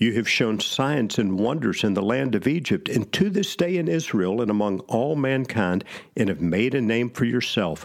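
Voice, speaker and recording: Speaking in an ordinary speaking voice, a man with a medium pitch keeps a moderate pace and very even loudness, his intonation lively and his pauses hardly any. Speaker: pastor. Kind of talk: sermon-style Bible teaching with scripture reading aloud. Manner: earnest, solemn, reverent delivery when reading the prayer; measured, teacherly.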